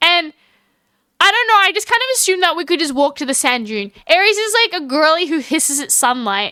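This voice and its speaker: A woman's extremely high, raised, projected voice with an animated tone, very wide pitch swings, and a fairly quick pace. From Australia. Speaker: streamer. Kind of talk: casual chat. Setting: live stream.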